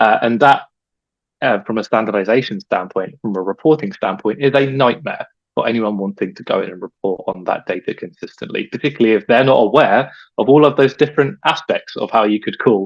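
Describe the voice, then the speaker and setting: Speaking in an English accent, a man with a medium pitch and lively intonation moves at a fairly quick pace, the sound dry and close with no echo. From England. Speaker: data expert, webinar presenter. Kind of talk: webinar presentation.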